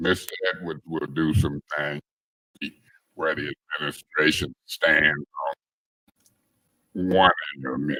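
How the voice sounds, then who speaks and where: A man speaks with a very deep, low pitch, fairly even intonation and vocal fry, his bright, sharp tone heard in a dry, close sound with no echo, at a fairly slow pace broken by long, frequent pauses. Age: 60s. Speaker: city council member. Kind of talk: council meeting debate.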